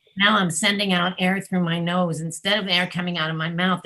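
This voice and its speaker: In a put-on character voice that sounds female, the speaker uses a medium pitch, a nasal sound, monotone, flat intonation and a fairly quick pace. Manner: demonstrating nasal voice.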